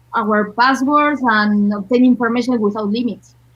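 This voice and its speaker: A woman talks in a somewhat breathy voice with a Spanish accent. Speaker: film actor. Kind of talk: panel discussion. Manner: halting.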